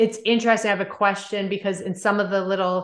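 A woman speaks at a medium pitch, her intonation flat and monotone throughout. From Maritime Canada. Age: 40s. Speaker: podcast host and reiki teacher. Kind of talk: interview; casual monologue. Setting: video call.

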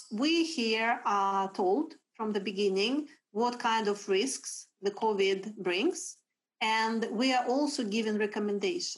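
A woman's fairly high voice with a Russian accent, at a very slow pace and with very even loudness. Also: lively intonation. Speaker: HR executive. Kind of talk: interview. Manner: energetic.

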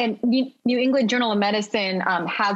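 In an American accent, a woman with an ordinary speaking voice talks at a moderate pace with ordinary pitch variation. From United States, family from China and Hong Kong. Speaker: pharmacist. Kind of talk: podcast interview.

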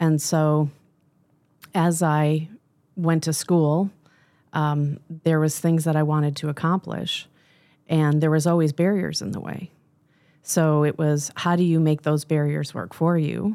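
A woman with an American accent speaks in a very deep, low voice, flat and monotone, with a dark, mellow tone and long, frequent pauses, on a very clean recording with a silent background. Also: fairly slow pace. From Michigan. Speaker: business coach. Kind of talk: interview. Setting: studio.

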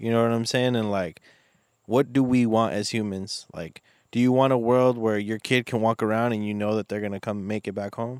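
A man has a plain, everyday voice, medium in pitch and fairly even in intonation. He talks at a fairly quick pace, and the sound is dry and close with no echo. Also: very clean recording, silent background. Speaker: podcast host. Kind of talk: casual banter. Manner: rambling, profane.

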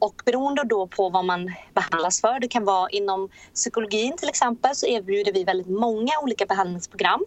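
At a fairly quick pace, a woman with a plain, everyday voice speaks at a medium pitch with ordinary pitch variation. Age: 30s. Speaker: entrepreneur. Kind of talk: interview.

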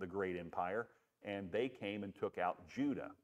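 A man with a plain, everyday voice speaks at a moderate pace. His pitch is fairly low, with ordinary variation. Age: 60s. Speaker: pastor. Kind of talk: bible study teaching. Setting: church. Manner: conversational with frequent fillers.

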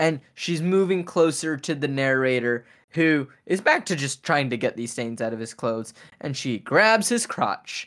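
This man has an unremarkable speaking voice. His pitch sits fairly high. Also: very clean recording, silent background. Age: 20s. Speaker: podcast host, actor and singer-songwriter. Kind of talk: casual chat.

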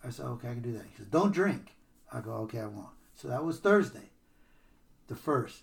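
Somewhat breathy and with very wide pitch swings, a man speaks in an American accent. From Stockton, California. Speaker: recovering alcoholic, sponsor. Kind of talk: testimony. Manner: animated, laughs often.

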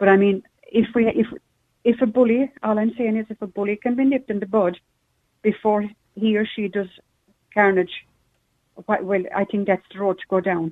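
A woman at a medium pitch uses fairly even intonation and takes long, frequent pauses. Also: moderate pace. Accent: Irish. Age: 70s. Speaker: caller. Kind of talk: phone-in chat.

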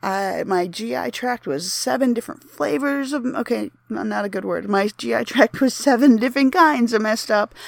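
The woman has an ordinary speaking voice with a fairly high pitch. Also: very clean recording, silent background. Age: 30s. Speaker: podcast host and former mental health clinician. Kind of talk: solo monologue on mental health.

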